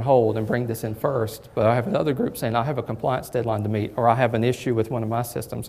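A man's very fast speech in a Southern US accent, at a medium pitch. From southern Kentucky. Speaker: bank technology executive; guest. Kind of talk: presentation. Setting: lunch presentation with audience. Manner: hesitant, many fillers. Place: hall.

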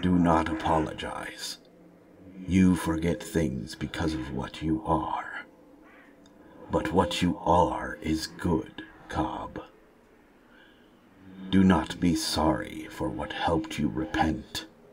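Putting on a character voice, a man speaks raspy and very deep at a very slow pace, with long, frequent pauses. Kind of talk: heroic fantasy speech. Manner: solemn, formal, measured; grave, stoic, speaks without contractions.

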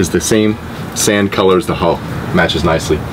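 Fairly low-pitched man at a fairly quick pace, intonation fairly even, noticeable background noise behind him. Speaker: boat salesperson. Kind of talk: product walkthrough tour. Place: boat. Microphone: phone near.

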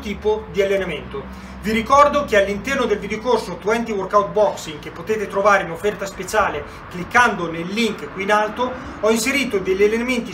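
Over noticeable background noise, a man uses a raised, projected voice at a fairly quick pace with ordinary pitch variation. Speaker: boxing trainer. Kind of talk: tutorial. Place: garage. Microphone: camera far.

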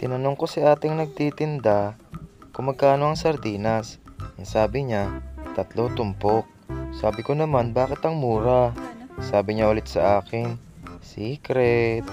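A man at a medium pitch with ordinary pitch variation, a fairly slow pace and a playful tone, music in the background. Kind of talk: comedic voice-over narration of cooking vlog. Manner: playful, joking.

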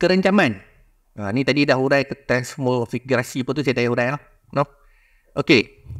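A man at a moderate pace with ordinary pitch variation, long, frequent pauses and a quiet background. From Malaysia, Kedah; Malaysia. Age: young. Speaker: history society panelist; panelist. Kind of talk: public talk. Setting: museum forum with audience. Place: hall. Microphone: handheld.

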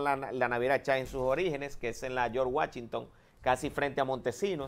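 The man's intonation stays fairly even as he talks at a moderate pace. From Dominican Republic. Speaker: government agency director; guest. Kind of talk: TV interview. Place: studio. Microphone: lapel.

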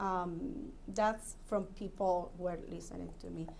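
A woman speaks with a non-native accent and a dark, mellow tone. Room echo can be heard. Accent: foreign. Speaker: commission applicant. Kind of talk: job interview. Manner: halting.

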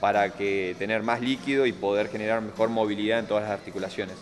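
With clear music in the background, a man speaks at a fairly quick pace in a fairly low pitch. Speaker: fitness coach. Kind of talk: tutorial. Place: gym.

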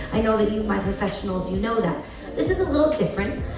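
A woman talks with ordinary pitch variation, with audible room echo and music in the background. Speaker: game show host. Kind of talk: stage host announcements. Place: hall. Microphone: pa.

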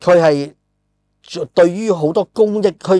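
A man with a high pitch speaks with lively intonation. The background is quiet and the sound dry, with no echo. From Hong Kong. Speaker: podcast host and film screenwriter; podcast host. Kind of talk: casual chat. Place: studio. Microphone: lapel.

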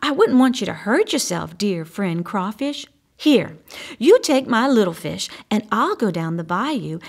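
The clip has a natural reading voice that moves with lively intonation.

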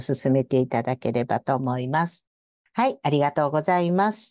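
With a quiet background and a dry, close sound without echo, a woman speaks at a moderate pace in a dark, mellow tone. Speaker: radio host. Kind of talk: casual radio interview, polite.

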